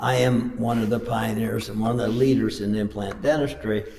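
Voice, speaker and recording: A man is recorded with noticeable background noise. Room echo can be heard. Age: 80s+. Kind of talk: talk to a men's group.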